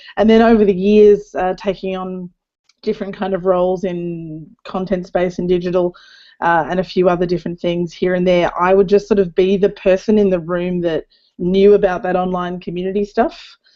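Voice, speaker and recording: Over a quiet background, a woman with an Australian accent speaks at a moderate pace in a dark, mellow, medium-pitched voice with flat, monotone intonation. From Australia (Darwin). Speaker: community manager. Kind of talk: panel discussion.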